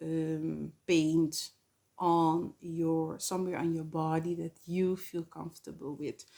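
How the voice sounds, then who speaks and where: A woman with a non-native accent speaks at a very slow pace in a fairly low pitch. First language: not English. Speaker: spiritual channel host. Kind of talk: spiritual talk to camera. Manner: hesitant, many fillers.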